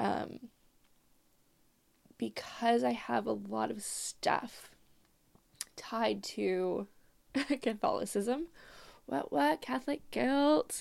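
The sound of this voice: A woman speaks at a very slow pace with long, frequent pauses, her fairly high pitch carrying vocal fry, a slightly mellow tone and fairly even intonation.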